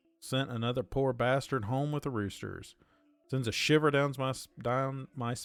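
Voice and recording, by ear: Someone is reading aloud in a natural voice, keeping a fairly even intonation.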